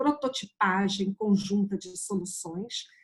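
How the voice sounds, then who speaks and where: Her voice is somewhat breathy. The woman keeps a moderate pace. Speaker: museum project co-founder. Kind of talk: panel discussion.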